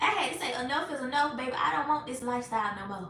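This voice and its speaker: Raised and projected, the voice has a Southern US accent, lively intonation and an animated tone at a fairly quick pace. Audible room echo and noticeable background noise surround it. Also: woman. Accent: country Southern. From US South, Georgia. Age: 30s. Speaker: faith and marketing coach. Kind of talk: live stream chat with viewers.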